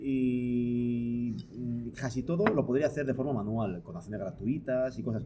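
A somewhat breathy male voice of medium pitch with a dark, mellow tone. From Palencia, northern Spain. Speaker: photographer and photo-editing teacher. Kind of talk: casual interview. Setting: studio recording with drinks.

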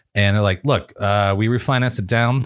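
Over a very clean recording with a silent background, a man uses an ordinary speaking voice at a fairly quick pace with ordinary pitch variation. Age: 40s. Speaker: podcast host. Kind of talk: casual chat.

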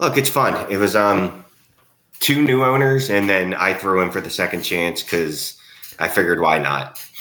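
A man with an American accent talks at a moderate pace in a plain, everyday voice. His pitch is fairly low, and his intonation is lively. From Philadelphia. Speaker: fantasy football podcast co-host. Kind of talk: casual chat.

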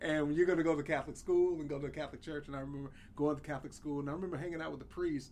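A man's very fast, monotone, flat delivery, fairly high in pitch, with an American accent. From US South. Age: 50s. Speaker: podcast co-host. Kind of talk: casual chat.

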